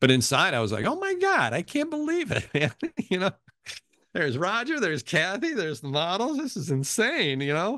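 Speaking at a fairly quick pace in a raised, projected voice, a man with a high pitch swings very widely in pitch, his tone bright and sharp. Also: dry sound with no echo. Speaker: game show announcer. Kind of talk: interview answer. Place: home room. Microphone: webcam.

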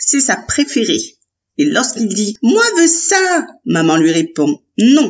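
Natural reading voice, background quiet

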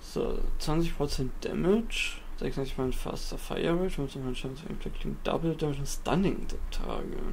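A man talks at a fairly slow pace. There are hardly any pauses. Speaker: gaming YouTuber. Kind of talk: let's play commentary. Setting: home recording setup. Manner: casual, thinking aloud.

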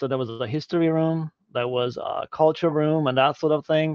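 A man's monotone, flat delivery with a dry sound, no echo and a quiet background. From Hungary. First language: Hungarian. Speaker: e-learning technology leader; guest. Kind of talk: Q&A interview. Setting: live video stream. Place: home room. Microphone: video call.

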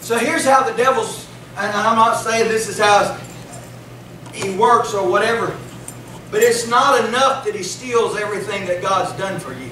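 A man with a high pitch uses a raised, projected voice with ordinary pitch variation at a moderate pace, leaving long, frequent pauses, while audible room echo and light background noise surround him. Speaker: preacher. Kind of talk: sermon. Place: church.

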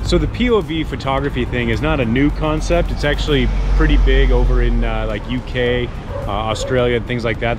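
A man delivers his words fairly quickly while noticeable background noise carries on. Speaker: motorcycle vlogger. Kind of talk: casual vlog chat. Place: street.

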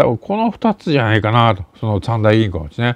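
A man's voice with very wide pitch swings, in a dry sound with no echo against a quiet background. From Japan. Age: 60s. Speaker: intelligence and geopolitics commentator; political commentator. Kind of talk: solo news commentary monologue. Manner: casual with many fillers. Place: home room. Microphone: webcam.

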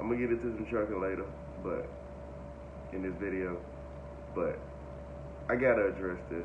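A man with a very deep, low voice and vocal fry talks at a fairly quick pace with lively intonation. Long, frequent pauses break up his speech over noticeable background noise. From North Carolina. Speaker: trucking vlogger, trainee truck driver; truck driver trainee vlogger. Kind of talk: casual vlog monologue. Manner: halting, many fillers. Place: home room. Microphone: phone near.

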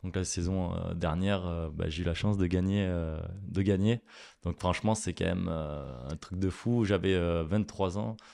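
Against a quiet background, a man with a very deep, low pitch and a dark, mellow tone speaks at a fairly slow pace with fairly even intonation. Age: 20s. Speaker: chef; guest. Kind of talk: interview. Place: studio. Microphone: studio mic.

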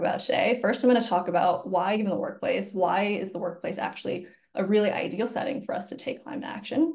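A woman with an American accent speaks at a very fast pace in a fairly high pitch, with ordinary pitch variation over a quiet background. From Virginia, US. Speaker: climate nonprofit employee engagement lead; webinar presenter. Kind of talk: webinar presentation. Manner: animated. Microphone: webcam.

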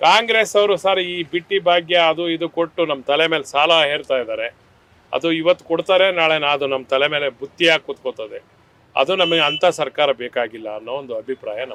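Here a man has an unremarkable speaking voice. His pitch is fairly high, with ordinary variation. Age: 60s. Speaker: member of the public interviewed. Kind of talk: street interview.

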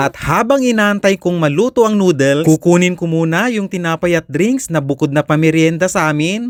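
A man speaks at a high pitch with lively intonation, in a dry, close sound with no echo on a very clean recording with a silent background. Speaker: vlogger, migrant factory worker. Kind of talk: vlog narration.

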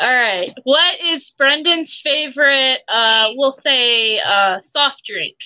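Very slow pace with hardly any pauses, dry sound with no echo. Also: woman, high pitch for a woman, quiet background. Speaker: co-host. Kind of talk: casual chat. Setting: video call. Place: home room. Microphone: video call.

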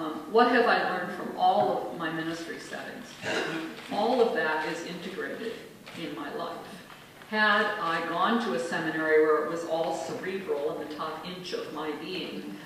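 Strong room echo surrounds the speech, with light background noise underneath. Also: woman, fairly low pitch for a woman, ordinary pitch variation, moderate pace. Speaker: minister. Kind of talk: acceptance speech. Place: hall.

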